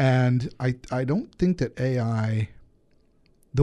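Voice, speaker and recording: A man speaks at medium pitch with a dark, mellow tone. His voice is somewhat breathy against a quiet background. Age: 50s. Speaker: podcast co-host on technology. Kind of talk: casual chat.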